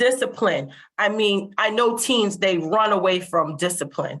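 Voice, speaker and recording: A woman with a normal speaking voice talks at a moderate pace, with a medium pitch and ordinary pitch variation. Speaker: webinar presenter on mental health. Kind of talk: webinar presentation. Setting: online webinar.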